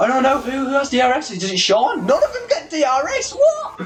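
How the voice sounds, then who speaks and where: Someone with a British accent speaks with lively intonation. Music plays in the background, and room echo is audible. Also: man. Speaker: sim racing league commentator. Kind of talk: live commentary. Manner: animated; high pitched when excited.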